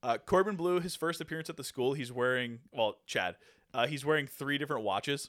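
A man speaks in a normal speaking voice at a fairly high pitch. His pace is fairly quick, with ordinary pitch variation. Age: 30s. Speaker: podcast co-host. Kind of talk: casual chat; reading a plot summary.

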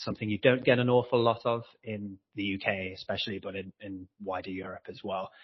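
Speaking in an English accent, a man holds a fairly low pitch and a flat, monotone delivery. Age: 30s. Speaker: ultimate frisbee player. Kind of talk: podcast interview. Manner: halting.

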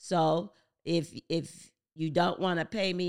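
A woman's very deep, low voice with an American accent, in a very clean recording with a silent background. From New Jersey, Paterson. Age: old. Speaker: real estate investor and lender. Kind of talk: interview, explanatory.

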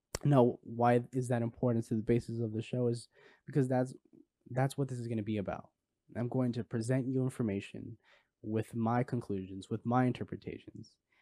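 This man speaks with an American accent at a fairly quick pace, his medium pitch delivered in a monotone, flat way. His tone is dark and mellow, and the sound is dry and close with no echo on a very clean recording with a silent background. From Los Angeles area, California. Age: 20s. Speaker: podcast host, psychology student. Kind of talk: solo podcast monologue.

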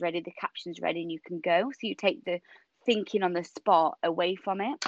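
Fairly quick speech from a woman with a northern English accent, medium in pitch, with ordinary pitch variation. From Yorkshire, northern England. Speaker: personal trainer. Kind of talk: casual interview chat. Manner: animated, laughs often.

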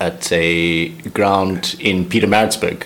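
Over noticeable background noise, a man speaks with a South African accent. His pitch is very deep and low. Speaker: cricketer, overseas club player. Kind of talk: casual interview.

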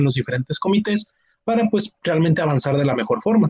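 A man's somewhat breathy voice in a dry, close sound with no echo. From Monterrey, northern Mexico. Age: 20s. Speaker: university student, competition team member. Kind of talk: casual chat.

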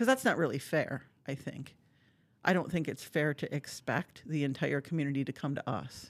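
With an Upper Peninsula Michigan accent, a woman speaks at a fairly quick pace in a very deep, low pitch, on a very clean recording with a silent background. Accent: Upper Midwest (Yooper). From Upper Michigan (Marquette). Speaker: symphony orchestra executive director. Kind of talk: casual interview.

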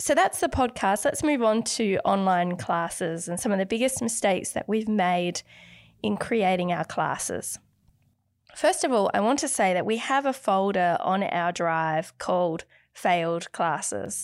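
A woman with a normal speaking voice talks at a fairly slow pace, her medium pitch carried by lively intonation, on a very clean recording with a silent background. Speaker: artist and art podcast host. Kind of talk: casual chat. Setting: home recording.

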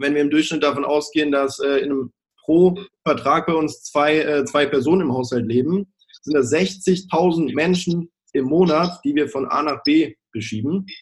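A man with a fairly high pitch and an ordinary speaking voice, talking at a fairly slow pace. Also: ordinary pitch variation. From Baden-Württemberg, Germany (village). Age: 20s. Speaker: sales manager at an energy supplier. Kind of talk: interview, promotional. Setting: video call.

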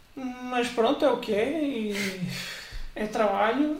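Ordinary pitch variation from a male speaker, plus audible room echo and noticeable background noise. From central Portugal. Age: 30s. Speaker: church member, former Bible institute student. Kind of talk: casual interview.

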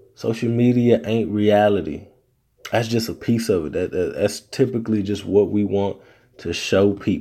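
In a Southern US accent, a man speaks at a moderate pace with fairly even intonation and a dark, mellow tone at a fairly low pitch. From US South. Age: 30s. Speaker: podcast host. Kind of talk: casual solo podcast monologue.

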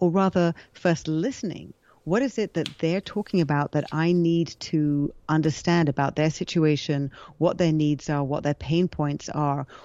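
Her pitch fairly low, a woman with a British accent talks with ordinary pitch variation. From England. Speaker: future of work consultant. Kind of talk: casual interview chat.

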